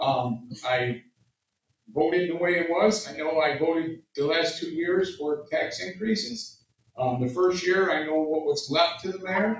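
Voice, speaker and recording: With an American accent, a man speaks at a fairly slow pace in a high pitch. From US Northeast, Utica, New York. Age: 60s. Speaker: city councilman. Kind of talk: public speech. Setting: community meeting with audience. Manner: casual, halting.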